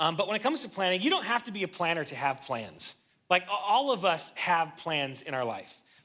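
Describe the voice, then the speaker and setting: A man's high voice at a fairly quick pace, with very wide pitch swings. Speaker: guest preacher. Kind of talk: sermon. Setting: church. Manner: fast; casual, conversational.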